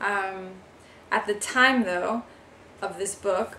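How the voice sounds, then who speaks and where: A woman of medium pitch with an American accent, amid audible room echo and noticeable background noise. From New York. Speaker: vlogger, author and musician. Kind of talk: casual vlog. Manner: hesitant, many fillers.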